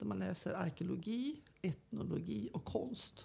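A woman's dark, mellow voice with vocal fry and lively intonation. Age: 70s. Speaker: archaeologist and tour guide. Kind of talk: casual interview.

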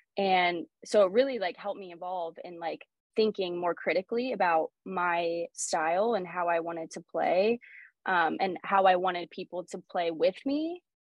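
Her loudness swinging widely, a woman speaks with a Pacific Northwest accent. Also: medium pitch for a woman, ordinary pitch variation, moderate pace. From Oregon, Portland area. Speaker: professional soccer player. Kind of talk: interview conversation.

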